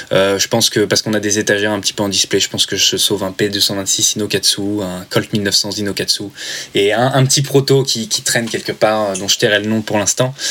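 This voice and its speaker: Over noticeable background noise, a man speaks at a fairly quick pace, his fairly low voice held to fairly even intonation. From Normandy, France. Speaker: airsoft brand marketing manager. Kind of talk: casual interview.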